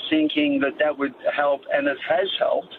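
With an Australian accent, a man speaks at a moderate pace in a fairly high pitch. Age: 60s. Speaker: radio caller. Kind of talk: phone-in question.

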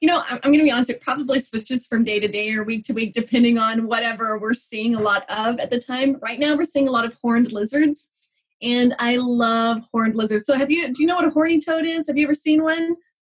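A woman speaks at a very fast pace with hardly any pauses. Her voice is high-pitched, with ordinary pitch variation. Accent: Texan. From Texas. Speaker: biologist and educator. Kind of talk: casual interview. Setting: video call.

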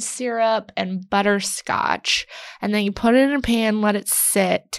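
A plain, everyday voice: a woman with an American accent, fairly high pitch, and a fairly slow pace, in a very clean, dry, close recording with a silent background and no echo. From Texas. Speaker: writer and journalist. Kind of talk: casual interview.

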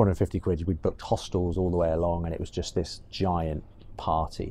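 A man's very deep, low voice, dark and mellow in tone, with a British accent. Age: 30s. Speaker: entrepreneur, agency co-founder. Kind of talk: interview conversation. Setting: in person at guest's office.

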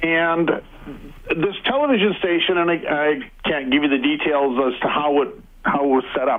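With a normal speaking voice, the man talks at a fairly high pitch that varies in an ordinary way. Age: 60s. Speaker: radio caller. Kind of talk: casual storytelling.

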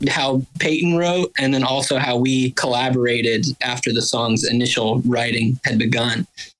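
A man speaks with an Alabama accent. His pitch is medium and his pace is moderate. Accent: Southern US (Alabama). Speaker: bassist in a band. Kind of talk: casual chat.

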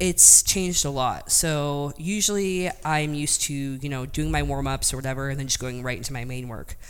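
A woman speaks at a moderate pace in a room with audible echo. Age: 20s. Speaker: powerlifter, world record holder. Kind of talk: interview.

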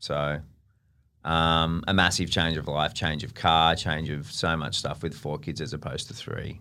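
A man with an Australian accent, very deep and low in pitch, at a fairly slow pace with ordinary pitch variation. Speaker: podcast host's partner. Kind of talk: casual chat. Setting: studio. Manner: loud.

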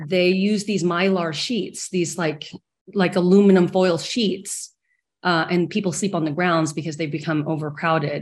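A woman with an American accent and an ordinary speaking voice, fairly low in pitch, with fairly even intonation at a moderate pace. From small-town Texas. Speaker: film director. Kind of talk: panel discussion.

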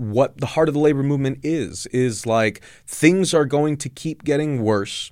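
Over a very clean recording with a silent background, a man with an American accent and a plain, everyday voice speaks at a moderate pace with ordinary pitch variation. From Southern California. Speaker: journalist and labor podcast host. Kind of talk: casual interview. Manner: many fillers (uh, um, you know).

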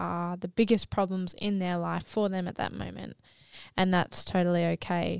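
In a very clean recording with a silent background and a dry, close sound with no echo, a woman of medium pitch speaks in a flat monotone at a moderate pace with an Australian accent. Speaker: podcast host.

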